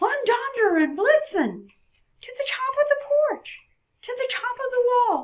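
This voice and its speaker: A cartoonish character voice, female-sounding, at a fairly slow pace with very wide pitch swings. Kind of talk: poetry reading. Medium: puppet. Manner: warm, gentle.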